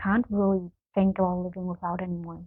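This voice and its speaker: This is a woman speaking. She has a German accent. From Germany, Berlin. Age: 30s. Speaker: artist and tattooer. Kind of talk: scripted video introduction. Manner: hesitant, many fillers. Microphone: poor mic, bad sound quality.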